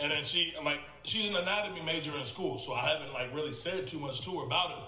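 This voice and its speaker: Talking at a very fast pace, a man is heard over light background noise with audible room echo. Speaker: reaction video host. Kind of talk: casual reaction commentary and skit role-play. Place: home room.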